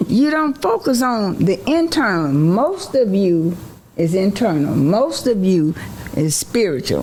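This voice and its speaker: A woman speaks fairly slowly at medium pitch, her voice making very wide pitch swings at very even loudness. Noticeable background noise runs underneath. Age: 70s. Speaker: seasoned mother, advice-giving guest. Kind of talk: casual chat.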